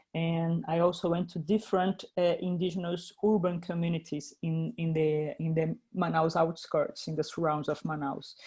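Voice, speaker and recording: A woman with a Brazilian Portuguese accent speaks at a moderate pace in a fairly low pitch, her dark, mellow tone somewhat breathy, her intonation fairly even and her delivery with hardly any pauses. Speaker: filmmaker. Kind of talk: interview. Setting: video call. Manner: halting, many repetitions.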